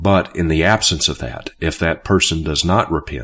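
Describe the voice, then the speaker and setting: A very deep, low-voiced man with vocal fry at a fairly slow pace, in a very clean recording with a silent background. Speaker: Bible teacher and preacher. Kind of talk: teaching video on scripture. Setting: recorded video. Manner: halting with frequent fillers.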